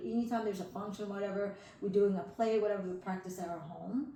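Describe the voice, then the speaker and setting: A woman talks at a very fast pace with ordinary pitch variation. Noticeable background noise and audible room echo fill the recording. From Southeast Asia, moved to Arkansas at five. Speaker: political candidate. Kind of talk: interview.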